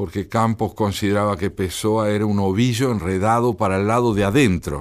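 An ordinary speaking voice is heard here. It moves at a moderate pace with ordinary pitch variation. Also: man. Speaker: poet and translator. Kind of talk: radio interview.

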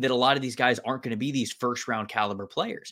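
A man with an American accent talks at a fairly quick pace in a medium pitch, an ordinary speaking voice. The recording is very clean, with a silent background. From Florida (Tampa). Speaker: football draft analyst. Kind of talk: casual sports talk.

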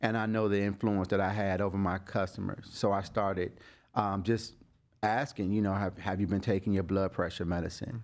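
With an American accent, a man speaks in an unremarkable speaking voice at a fairly low pitch, with ordinary pitch variation. The recording is very clean, with a silent background. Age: 40s. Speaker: barber and cancer survivor. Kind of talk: interview testimony.

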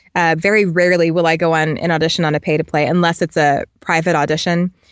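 With an American accent, a woman uses an unremarkable speaking voice at a fairly low pitch and a fairly quick pace. The sound is dry and close with no echo, over a quiet background. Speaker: voiceover actor. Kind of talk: interview.

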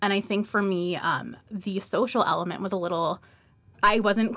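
A woman with a medium-pitched voice speaks in an ordinary speaking voice, her intonation fairly even. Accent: American. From Atlanta, US South. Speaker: MBA student, podcast co-host. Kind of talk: casual chat. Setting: studio.

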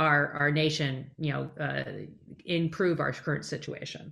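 Her pitch very deep and low, a woman speaks with vocal fry and ordinary pitch variation. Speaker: podcast host. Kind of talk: interview.

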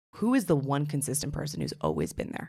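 A woman talks with an American accent. Her voice is very deep and low, with vocal fry. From New York City. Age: 20s. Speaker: confidence coach and social media personality. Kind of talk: casual chat.

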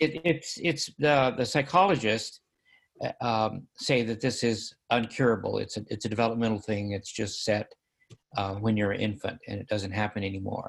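A man talks in a normal speaking voice at medium pitch. His pace is moderate and his pitch variation ordinary. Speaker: caller. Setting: video call.

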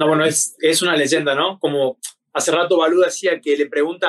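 A man speaks at a moderate pace and a fairly high pitch with monotone, flat intonation. The sound is dry and close, with no echo. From Argentina. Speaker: MMA fighter. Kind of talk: interview.

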